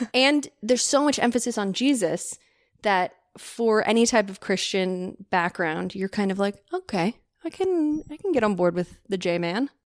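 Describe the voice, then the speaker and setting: A woman with an American accent uses a normal speaking voice at medium pitch, moderate pace and lively intonation. The very clean recording has a silent background and a dry, close sound with no echo. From California. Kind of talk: casual interview chat.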